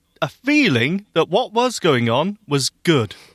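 A man speaks with a British accent and very wide pitch swings. The sound is dry and close with no echo. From UK. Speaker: podcast co-host. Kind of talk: casual chat. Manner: animated.

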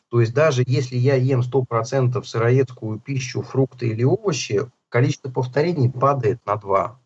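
At a fairly slow pace with hardly any pauses, a man speaks at medium pitch, somewhat breathy, with fairly even intonation and very even loudness. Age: 40s. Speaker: healthy-eating author and food entrepreneur. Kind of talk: interview.

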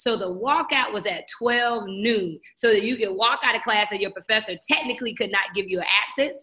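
Noticeable background noise runs under a woman with a fairly high pitch and ordinary pitch variation. She talks at a fairly quick pace with hardly any pauses. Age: 40s. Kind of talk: interview.

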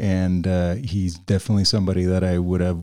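In a Spanish accent, a man speaks very deep and low with a dark, mellow tone and monotone, flat intonation on a very clean recording with a silent background. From Venezuela, Caracas. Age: 40s. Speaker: video producer and director. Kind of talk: casual chat.

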